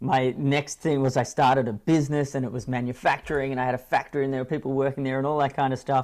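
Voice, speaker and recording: A man with an Australian accent and a medium pitch talks at a very fast pace with hardly any pauses, in a monotone, flat intonation. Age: 40s. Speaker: speaker and coach. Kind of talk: interview conversation. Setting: at home with kids nearby.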